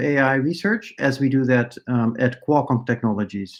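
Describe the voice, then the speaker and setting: The man's voice sits fairly high in pitch. He speaks at a moderate pace. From Netherlands. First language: Dutch. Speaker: AI researcher and professor. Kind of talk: conference talk. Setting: conference presentation. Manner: many filler words (uh, um).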